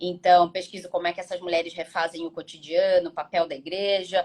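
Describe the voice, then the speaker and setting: A woman talks at a moderate pace. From Brazil, Rio de Janeiro state (carioca). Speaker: business advisor and researcher. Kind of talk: casual interview on live stream. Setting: Instagram live.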